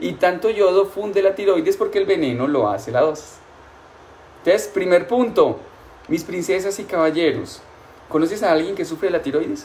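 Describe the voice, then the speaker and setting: Lively intonation in a man's high voice. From Colombia. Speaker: nutrition doctor. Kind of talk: live-streamed health talk. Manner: warm, affectionate. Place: home room. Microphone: phone near.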